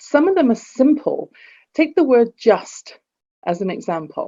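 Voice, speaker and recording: A woman speaks with an English accent in a dark, mellow tone. Her pitch swings very widely. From England. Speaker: executive coach and author. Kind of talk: podcast interview.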